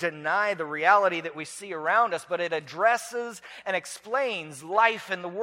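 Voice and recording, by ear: Here someone is reading aloud in a natural voice.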